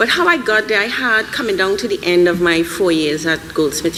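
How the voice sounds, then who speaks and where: A woman speaks at a fairly quick pace with a Trinidadian accent and a fairly low pitch. Audible room echo and noticeable background noise are present. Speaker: animation filmmaker, panelist. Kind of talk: live panel discussion. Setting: stage with audience. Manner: animated.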